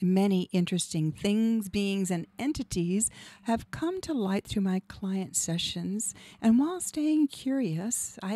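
A woman with a dark, mellow tone and lively intonation speaks at a fairly slow pace in a dry recording with no echo. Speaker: radio show host and hypnotherapist; radio show host. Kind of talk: scripted monologue. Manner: polished, rehearsed. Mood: calm, warm, inspirational. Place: studio. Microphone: studio mic.

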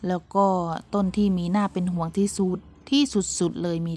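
Fairly low in pitch, a woman speaks in a dark, mellow tone with fairly even intonation. The recording is very clean, with a silent background. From Buriram, northeastern Thailand. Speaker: vlogger, pomelo farmer and mother. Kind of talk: casual vlog talk.

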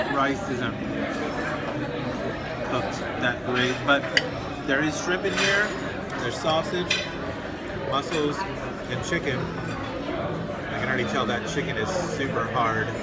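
A man speaks at a fairly slow pace with long, frequent pauses. Loud background noise runs behind him. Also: ordinary pitch variation. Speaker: food vlogger. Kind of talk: casual food review vlog. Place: cafe. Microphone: phone near.

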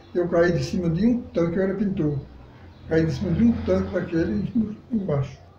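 The speech moves at a moderate pace with lively intonation, with light background noise and audible room echo in the recording. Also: man. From Northeast Brazil, Pernambuco countryside. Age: 80s+. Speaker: elderly local resident; interviewee. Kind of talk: interview. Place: home room.

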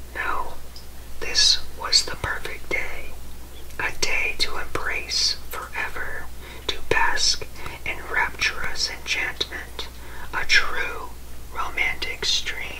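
There is noticeable background noise as a man speaks at a very slow pace with long, frequent pauses. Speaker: ASMR creator. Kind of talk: ASMR book reading for sleep. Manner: soft-spoken, whispering. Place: home room.

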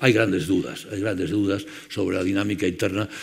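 This man talks at a very fast clip. His pitch sits fairly low. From Spain. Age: 70s. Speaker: conference chairman; speaker. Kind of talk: closing speech. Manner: halting. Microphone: headset.

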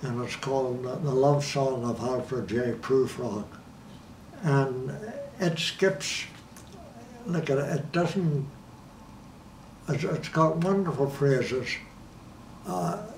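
A man with a fairly high pitch and lively intonation speaks at a very slow pace, leaving long, frequent pauses. Audible room echo and light background noise surround him. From Ireland. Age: 80s+. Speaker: documentary subject. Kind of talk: interview answer. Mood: reflective, warm reminiscing. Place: home room. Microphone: lapel.

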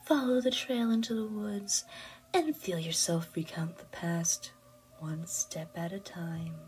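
A female-sounding voice puts on a character voice at a medium pitch. The pace is fairly slow. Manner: sweet, cryptic.

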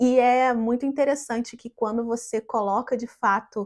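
Over a quiet background, a woman with a fairly high pitch speaks at a fairly slow pace in a dark, mellow tone. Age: 30s. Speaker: tour guide and travel agent; tourism content creator. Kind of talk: motivational vlog to camera. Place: home room. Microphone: lapel.

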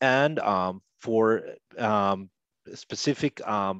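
Man in a Spanish accent with ordinary pitch variation, dry sound with no echo, quiet background. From Costa Rica. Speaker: linguist; interview guest. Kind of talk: interview. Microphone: headset.

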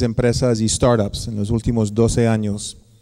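A dark, mellow tone in monotone, flat intonation at a moderate pace, with a quiet background. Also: man. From United States. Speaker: researcher and academic; guest lecturer. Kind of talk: conference lecture. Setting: lecture hall with audience. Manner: halting, many fillers. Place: hall. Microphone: podium.

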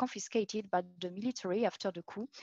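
The voice has a French accent and ordinary pitch variation. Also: woman, dry, close sound with no echo. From France. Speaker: PhD researcher in art history. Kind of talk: academic conference talk. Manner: halting.

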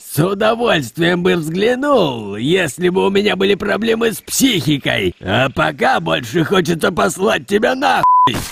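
Sound effects play in the background as a man talks in a high voice. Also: moderate pace. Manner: gruff, sarcastic, swearing.

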